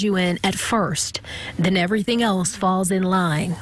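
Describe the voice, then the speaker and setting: Noticeable background noise accompanies a woman's voice. She speaks fairly slowly at a medium pitch. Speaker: TV news reporter. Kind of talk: TV news package narration.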